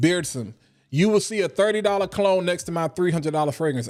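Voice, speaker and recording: Over music in the background, a man speaks with an eastern North Carolina accent and ordinary pitch variation. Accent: Eastern North Carolina country. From Eastern North Carolina (Washington, NC). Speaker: fragrance content creator. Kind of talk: casual livestream talk. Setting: live stream. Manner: animated.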